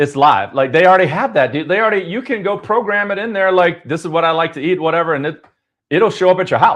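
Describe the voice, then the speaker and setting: Against a quiet background, a man talks loudly and very fast in an animated tone, high in pitch with ordinary variation. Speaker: podcast host. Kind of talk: casual chat. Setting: live stream.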